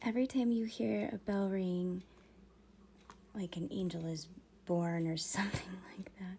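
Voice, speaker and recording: The voice is soft-spoken. Its tone is dark and mellow. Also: woman. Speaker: miniature painting streamer. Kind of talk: live stream casual chat. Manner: quiet, soft-spoken.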